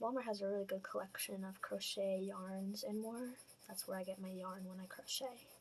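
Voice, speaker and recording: A soft-spoken, somewhat breathy woman whispering at a moderate pace. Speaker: portrait artist, art channel creator. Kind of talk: casual tutorial talk over drawing timelapse.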